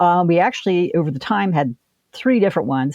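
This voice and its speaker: A woman speaks in a Midwestern American accent with a fairly low pitch. Her intonation is lively and her pace fairly quick. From Ohio. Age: 60s. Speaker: author and local historian. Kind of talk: interview.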